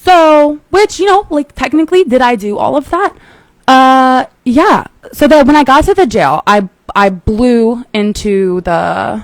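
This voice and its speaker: A woman speaks loudly at a fairly slow pace. Her high voice makes very wide pitch swings. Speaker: podcast host, Marine Corps veteran. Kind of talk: personal story on a podcast. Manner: runs words together.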